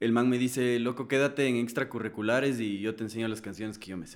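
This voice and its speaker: A man talks in an ordinary speaking voice at a medium pitch. His pace is moderate and his intonation fairly even. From Ecuador. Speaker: singer-songwriter. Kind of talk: casual chat. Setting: studio.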